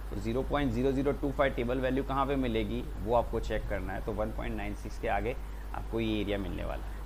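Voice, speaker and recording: A man with an Indian accent speaks at a moderate pace, with audible room echo around him. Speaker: teacher. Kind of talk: lecture. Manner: halting; loud.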